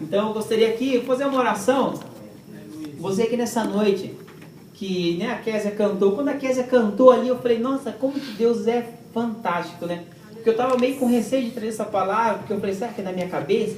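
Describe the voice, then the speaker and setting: An animated tone comes through at a fairly quick pace over noticeable background noise. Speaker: preacher. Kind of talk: sermon. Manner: fast.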